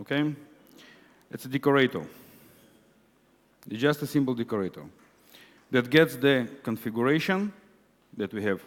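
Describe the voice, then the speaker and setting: A man with an Israeli accent at a moderate pace and medium pitch, with lively intonation and long, frequent pauses. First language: Hebrew. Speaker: conference speaker, web developer. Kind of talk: conference talk. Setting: stage with audience.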